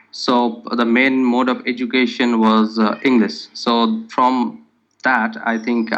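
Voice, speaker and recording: Very slow, flat, monotone speech from a man with a Bengali accent, at a very even loudness. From India, Kolkata. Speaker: test candidate. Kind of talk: interview. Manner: hesitant, many fillers.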